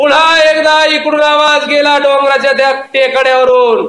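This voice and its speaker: This is a man's voice. His pitch is extremely high. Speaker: storyteller. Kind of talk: live oral storytelling performance.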